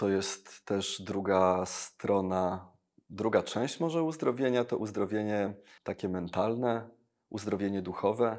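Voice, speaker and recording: The speech proceeds at a very slow pace over a quiet background. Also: man. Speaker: engineer and evangelist, worship singer; evangelist. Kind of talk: interview testimony. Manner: energetic. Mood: warm, personal testimony. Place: studio. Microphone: lapel.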